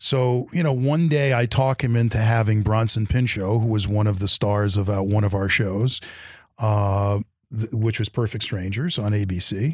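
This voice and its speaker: A man speaks in a fairly low pitch with a New York accent. His pace is moderate and his pitch variation ordinary, in a very clean recording with a silent background. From Brooklyn, New York. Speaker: television executive. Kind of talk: interview.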